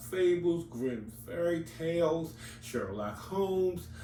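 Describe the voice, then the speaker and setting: Heard with audible room echo, a man with a medium pitch talks at a very slow pace. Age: 60s. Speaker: comics YouTuber. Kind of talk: casual monologue. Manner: conversational, with fillers.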